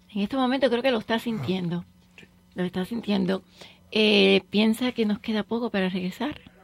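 Somewhat breathy speech at a moderate pace shows ordinary pitch variation and big swings in loudness, with a dry, close sound and no echo. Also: woman, medium pitch for a woman. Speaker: radio host. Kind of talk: radio talk show with guests and callers. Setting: radio studio.

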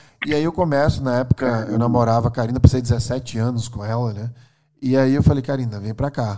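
With a Northeastern Brazilian accent, a man talks at a fairly quick pace, his medium pitch held in fairly even intonation. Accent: Northeastern Brazilian (Alagoas). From Brazil, Maceió, Alagoas (Northeast). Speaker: neuroscientist and tech executive. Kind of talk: casual interview.

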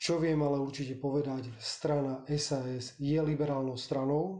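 A man's fairly high, somewhat breathy voice with a dark, mellow tone, monotone, flat intonation and audible room echo. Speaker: politician. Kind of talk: political interview.

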